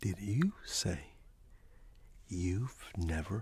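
A soft-spoken man talks at a very slow pace in a dark, mellow tone that is somewhat breathy, over light background noise. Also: dry sound with no echo. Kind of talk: role-play conversation to camera. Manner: soft, close, amazed ASMR voice. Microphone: webcam.

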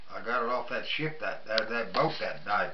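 A man talks at a moderate pace through noticeable background noise. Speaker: World War II veteran. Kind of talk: interview answer. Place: home room. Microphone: phone near.

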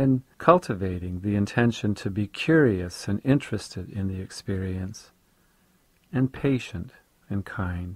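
At a fairly slow pace, a somewhat breathy voice with a calm, soothing tone and ordinary pitch variation comes through in a dry, close sound with no echo on a very clean recording with a silent background. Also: man, fairly low pitch for a man. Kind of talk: guided meditation. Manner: slow, calm, soothing, gently paced with long pauses; soft-spoken, instructive.

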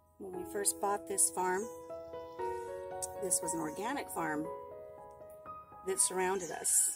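Music plays in the background behind a woman. She speaks at a fairly slow pace. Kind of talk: casual vlog chat. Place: farm machine. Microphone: camera far.

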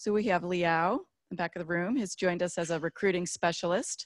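A woman's normal speaking voice, fairly low in pitch, with fairly even intonation and a moderate pace, in a dry sound with no echo and a quiet background. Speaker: program staff leading info session. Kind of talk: informational presentation. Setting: room with small audience, also streamed online. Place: hall.

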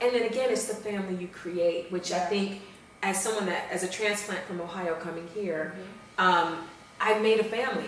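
Light background noise and audible room echo surround a woman who talks at a fairly quick pace with fairly even intonation. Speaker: guest. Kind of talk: interview answer.

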